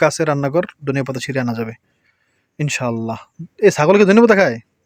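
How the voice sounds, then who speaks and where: A man with an unremarkable speaking voice, a fairly high pitch and lively intonation. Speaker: family vlogger. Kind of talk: casual vlog narration.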